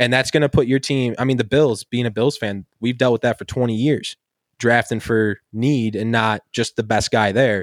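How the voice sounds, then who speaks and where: Recorded very cleanly against a silent background, with a dry, close sound and no echo, a man with an American accent speaks in a plain, everyday voice at medium pitch and a moderate pace. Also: fairly even intonation. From Buffalo area, western New York. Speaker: sports podcast host. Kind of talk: casual chat.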